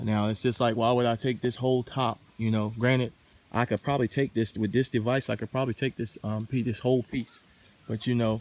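The sound is dry with no echo. A man speaks in a monotone, flat intonation. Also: fairly quick pace. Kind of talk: tutorial. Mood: relaxed, opinionated. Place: forest. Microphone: phone near.

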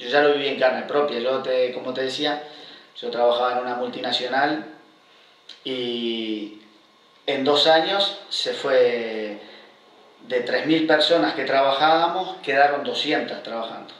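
With a Uruguayan accent, the speaker goes at a fairly slow pace with long, frequent pauses and ordinary pitch variation, and room echo is audible. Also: man, medium pitch for a man. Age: 50s. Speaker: long-term unemployed worker; guest. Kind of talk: interview; interview answer. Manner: halting, many repetitions. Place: home room. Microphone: camera far.

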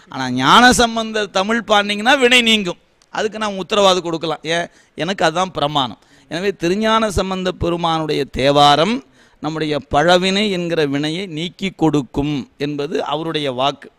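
With lively intonation, a man talks in a high pitch and a bright, sharp tone. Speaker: Shaiva devotional teacher giving a discourse. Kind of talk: devotional discourse, speech to an audience answering a question. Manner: explanatory, conversational yet reverent.

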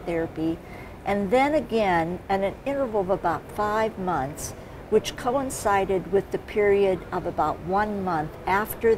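A woman's fairly slow speech with ordinary pitch variation over noticeable background noise. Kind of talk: interview answer. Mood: calm, explanatory.

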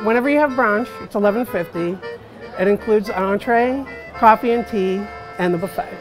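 A man talks at a fairly quick pace with ordinary pitch variation. Music is clearly audible in the background. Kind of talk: interview answer. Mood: relaxed, wry humor. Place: cafe. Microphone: lapel.

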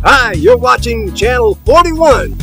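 A man talks with an American accent. The sound is dry with no echo, and clear music plays in the background. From Eastern North Carolina. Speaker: casino entertainer. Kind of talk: TV station ID promo. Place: street. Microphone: phone near.

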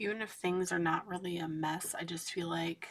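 Soft-spoken, a woman with a fairly low pitch talks at a moderate pace in a monotone, flat intonation. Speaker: coloring channel host. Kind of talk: casual chat while coloring. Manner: quiet, soft-spoken. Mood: candid, a little anxious.

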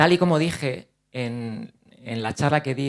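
The background is quiet as a man speaks in a fairly high voice. His pitch varies in an ordinary way. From Spain, Ciudad Real province (La Mancha); Castilla-La Mancha, Spain. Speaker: actor and speaker on OCD; actor, speaker. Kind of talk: conference talk. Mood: earnest, personal, open. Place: hall. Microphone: handheld.

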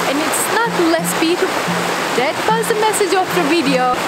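A woman talks at a moderate pace as music plays in the background. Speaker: vlogger. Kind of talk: casual vlog chat. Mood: playful and expressive. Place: forest.

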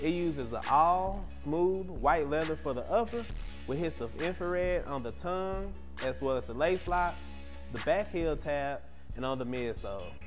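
Clear music plays in the background. A man talks over it at a moderate pace. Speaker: sneaker show host. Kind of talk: product review presentation. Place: studio. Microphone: lapel.

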